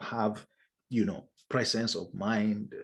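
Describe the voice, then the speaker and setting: Against a quiet background, a man talks in an unremarkable speaking voice, fairly low in pitch with ordinary variation. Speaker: leadership trainer. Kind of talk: online masterclass lecture.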